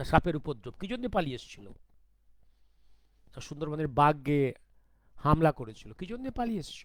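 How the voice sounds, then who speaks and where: His pitch fairly high, this man's voice shows very wide pitch swings and big swings in loudness. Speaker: political commentator. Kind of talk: monologue talk.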